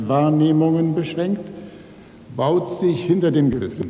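A man with a fairly high pitch speaks at a moderate pace. Room echo is audible. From Rhineland, Germany (Neuss); Rhineland, Germany. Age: 60s. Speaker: writer. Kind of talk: acceptance speech. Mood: calm, reflective. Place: hall. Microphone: podium.

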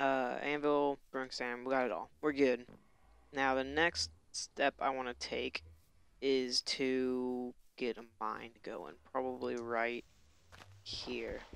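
A man speaks at a medium pitch with fairly even intonation. His pace is very slow, with long, frequent pauses. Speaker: gaming YouTuber. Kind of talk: Let's Play commentary. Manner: casual, halting.

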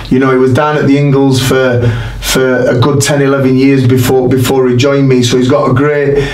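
Audible room echo surrounds a flat, monotone delivery. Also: man. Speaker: boxing trainer. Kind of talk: interview answer. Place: studio.

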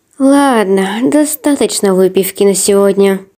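At a very slow pace, a woman speaks in a dark, mellow tone with lively intonation against a quiet background. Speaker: comic dub voice actor. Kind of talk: character dialogue reading of comic. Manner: tipsy, slurring drunk character voice.

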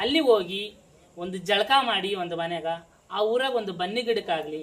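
A woman with a normal speaking voice talks at a medium pitch with ordinary pitch variation. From Anantapur district, Andhra Pradesh (Karnataka border). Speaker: jogamma, folk religious devotee. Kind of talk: interview answers, life story.

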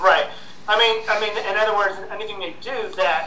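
Light background noise and audible room echo surround the voice. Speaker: show host or panel guest. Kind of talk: casual tech commentary discussion. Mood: opinionated, ranting. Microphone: video call.

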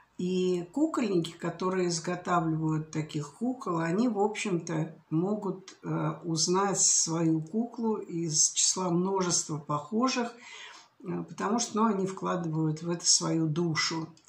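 At a very slow pace, a woman with a fairly low pitch and ordinary pitch variation speaks amid audible room echo. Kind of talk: casual vlog chat. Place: home room. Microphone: webcam.

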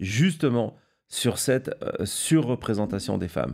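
Over a very clean recording with a silent background, a man speaks at a medium pitch in a dark, mellow tone with lively intonation. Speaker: political news show host. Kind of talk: live political analysis show. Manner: halting, many fillers and repetitions; unscripted, speaks without notes.

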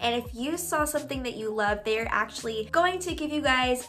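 A woman's high-pitched voice with lively intonation over light background noise. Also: moderate pace. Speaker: vlogger. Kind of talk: sponsored product review. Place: home room.

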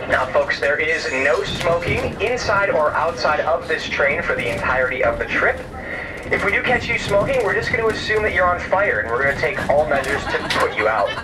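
A man talks at a fairly quick clip over noticeable background noise. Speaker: train staff announcer. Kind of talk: safety announcement. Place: train. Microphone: pa.

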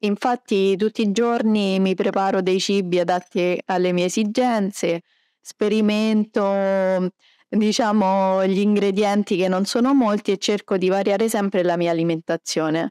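A woman's dark, mellow voice at a fairly slow pace, very even in loudness, dry with no echo over a quiet background. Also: fairly even intonation. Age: 30s. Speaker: celiac patient and food blogger. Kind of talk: interview. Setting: medical conference. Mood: calm, positive. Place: hall. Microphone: handheld.

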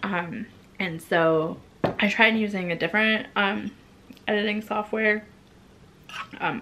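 Light background noise sits beneath a woman talking at a fairly slow pace. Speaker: vlogger. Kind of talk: casual vlog chat. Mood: relaxed, laughing at times. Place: home room.

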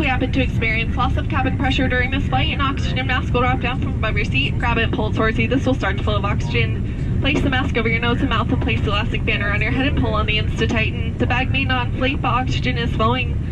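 The speech comes at a very fast pace with hardly any pauses. Loud background noise runs underneath. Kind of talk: safety announcement. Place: plane.

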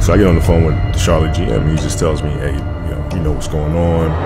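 A man speaks at a very fast pace. Loud music plays in the background. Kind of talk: interview answer. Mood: amused, animated. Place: studio. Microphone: studio mic.

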